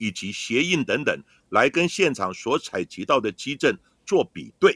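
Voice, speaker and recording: The recording is very clean with a silent background and a dry, close sound with no echo. A man with a medium pitch and a bright, sharp tone talks at a fairly slow pace with very wide pitch swings. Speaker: forensic expert, podcast host. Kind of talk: scripted narration.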